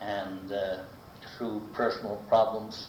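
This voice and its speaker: A man is heard over noticeable background noise. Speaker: local resident recounting life history. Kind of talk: oral history interview answer. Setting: archival recording of a 1985 interview.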